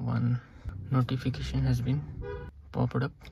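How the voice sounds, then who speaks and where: A man at a moderate pace, fairly even in intonation, in a dry sound with no echo. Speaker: tech demonstrator. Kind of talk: tutorial. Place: home room. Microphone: phone near.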